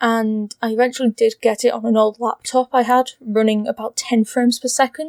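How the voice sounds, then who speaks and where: The intonation stays fairly even, with hardly any pauses. The sound is dry and close, with no echo. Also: woman, high pitch for a woman, fairly quick pace. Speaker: gaming video creator. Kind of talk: personal video essay.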